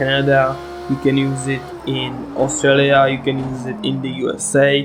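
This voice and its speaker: Amid noticeable background noise and audible room echo, a man speaks in a monotone, flat intonation with a Czech accent. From Czech Republic. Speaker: sim racing gamer. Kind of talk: gameplay commentary. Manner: halting, many fillers.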